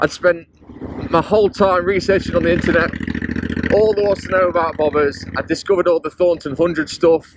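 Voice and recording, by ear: A man talks at a moderate pace and a fairly high pitch. His voice has a slightly husky edge and fairly even intonation.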